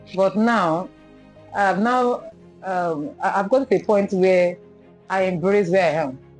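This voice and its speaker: Over music in the background, the speaker moves at a fairly slow pace with long, frequent pauses and lively intonation. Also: woman, medium pitch for a woman. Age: 40s. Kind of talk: interview answer.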